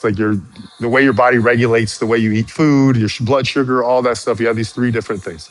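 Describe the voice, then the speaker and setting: Noticeable background noise runs behind the speaker. He is a man of medium pitch talking at a fairly quick pace. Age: 50s. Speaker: fitness content creator. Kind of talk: live stream chat. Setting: live stream. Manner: rhythmic, a bit slangy; halting, repeats words.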